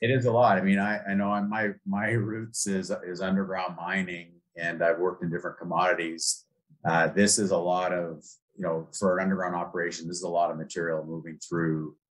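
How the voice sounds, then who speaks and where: A man's very deep, low voice at a fairly quick pace with fairly even intonation. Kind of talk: interview answer. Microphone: video call.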